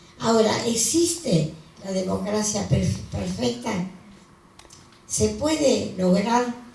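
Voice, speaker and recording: A woman's fairly high voice with lively intonation, at a very slow pace with long, frequent pauses, plus noticeable background noise and audible room echo. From Argentina. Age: 90s. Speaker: elderly activist at a book presentation. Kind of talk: panel speech. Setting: book presentation with audience. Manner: halting.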